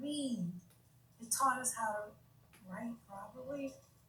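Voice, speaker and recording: A woman speaks at a very slow pace with fairly high pitch and ordinary pitch variation. Noticeable background noise runs underneath. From United States. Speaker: YouTube livestreamer discussing religion. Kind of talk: casual live stream talk. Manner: halting, stuttering.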